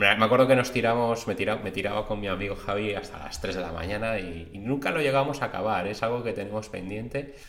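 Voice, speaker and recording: Over noticeable background noise and audible room echo, a man speaks at a very fast pace with hardly any pauses. His pitch is fairly low. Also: ordinary pitch variation. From Spain, Madrid. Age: 40s. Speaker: podcast host, aspiring webmaster. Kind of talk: casual personal monologue.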